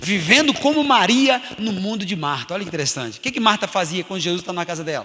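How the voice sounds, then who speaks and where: Over noticeable background noise, a man with a high pitch talks very fast in a raised, projected voice, his tone animated, his pitch swinging very widely, and hardly any pauses. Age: 50s. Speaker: pastor. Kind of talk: sermon. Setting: church.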